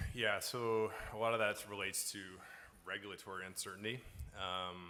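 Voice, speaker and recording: A man with a slight Newfoundland accent, fairly low in pitch, with a bright, sharp tone, monotone, flat intonation, a moderate pace, and audible room echo. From Newfoundland, Canada. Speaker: bitcoin mining company founder. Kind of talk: conference panel Q&A. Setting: stage with audience at conference.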